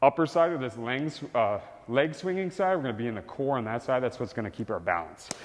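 A man speaks over light background noise. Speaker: fitness coach. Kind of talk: tutorial. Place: gym.

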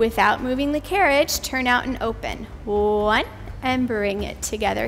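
This is a woman speaking. There is light background noise. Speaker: pilates instructor. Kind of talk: exercise class cueing. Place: gym. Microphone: headset.

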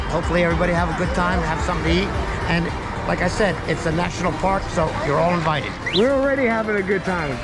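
Someone talks at a very fast pace over loud background music. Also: man. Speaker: group ride vlogger. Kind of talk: casual vlog commentary. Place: bicycle. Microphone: helmet.

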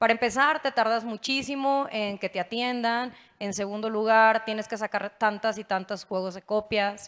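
A woman with an ordinary speaking voice, fairly high in pitch, at a moderate pace with fairly even intonation. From Mexico, Nuevo León. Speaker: state legislator; panelist. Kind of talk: panel discussion. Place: stage. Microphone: handheld.

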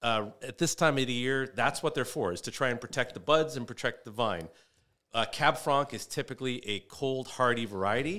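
Against a quiet background, a man speaks with a bright, sharp tone. His pace is fairly quick and his pitch variation ordinary. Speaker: comedian. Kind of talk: casual chat. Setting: studio. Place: studio. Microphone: studio mic.

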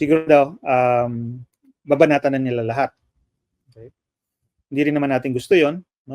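Over a quiet background with dry sound and no echo, a man speaks fairly quickly at a fairly high pitch with fairly even intonation, big swings in loudness and long, frequent pauses. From Philippines. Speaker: political analyst. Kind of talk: interview. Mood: calm, measured explanation. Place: home room. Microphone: video call.

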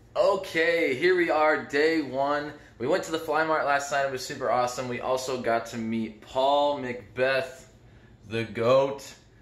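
A man speaks at a fairly slow pace. Audible room echo surrounds his voice. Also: ordinary pitch variation. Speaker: vlogger. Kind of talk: casual vlog chat. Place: home room. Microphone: phone near.

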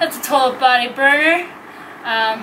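A woman speaks over clear music in the background. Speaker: fitness instructor. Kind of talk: workout instruction and outro. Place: garden.

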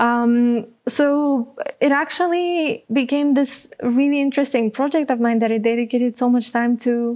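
At a moderate pace and a high pitch, a woman with a Bulgarian accent speaks with very even loudness, fairly even intonation and hardly any pauses against a quiet background. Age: 20s. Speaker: social entrepreneur; guest. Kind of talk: interview. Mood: warm, smiling, relaxed. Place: studio. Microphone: lapel.

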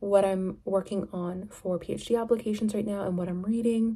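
Monotone and flat in intonation, a woman speaks with a somewhat breathy voice. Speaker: vlogger. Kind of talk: casual vlog chat. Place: home room. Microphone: phone near.

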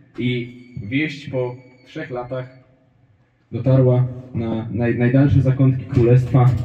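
Medium pitch from a man, very slow and monotone, with long, frequent pauses and audible room echo. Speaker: stand-up comedian. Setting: stage with audience. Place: stage.

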